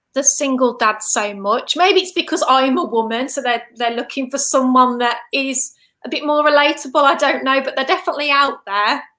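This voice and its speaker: Raising and projecting her high-pitched voice, a woman speaks with a bright, sharp tone, ordinary pitch variation and hardly any pauses. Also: moderate pace. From England, Staffordshire (Stafford). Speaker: vegan health coach. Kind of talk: casual interview chat. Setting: online livestream.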